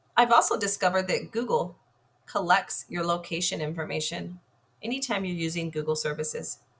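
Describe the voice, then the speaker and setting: Fairly quick speech from a woman with vocal fry. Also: fairly low pitch for a woman, ordinary pitch variation. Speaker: product reviewer. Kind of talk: tutorial.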